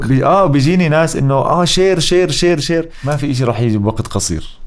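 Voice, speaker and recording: A man talks at a moderate pace with a fairly high pitch. His intonation is lively while his loudness stays very even. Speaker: voice actor. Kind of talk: podcast interview answer. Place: studio. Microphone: studio mic.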